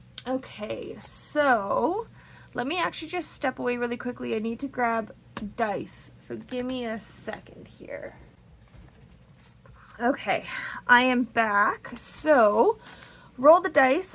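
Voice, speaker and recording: A woman's high voice with lively intonation, a very slow pace, long and frequent pauses, and big swings in loudness. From Canada. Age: 30s. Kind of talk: casual talk to camera.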